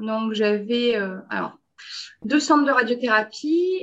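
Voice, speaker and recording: A woman speaks in a high voice with ordinary pitch variation. The background is quiet. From Belgium. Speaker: quality and radiation protection consultant. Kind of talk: interview.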